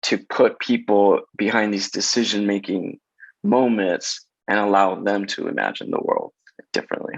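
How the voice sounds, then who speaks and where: Against a quiet background, a man with a Spanish accent speaks at a fairly slow pace. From Los Angeles, South Central. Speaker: casting director. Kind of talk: interview conversation.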